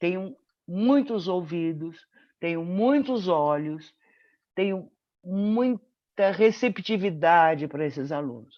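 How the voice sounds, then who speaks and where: At a very slow pace with long, frequent pauses, a woman speaks at a medium pitch with very wide pitch swings. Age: 60s. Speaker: medical professor and mentor. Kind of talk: webinar testimony.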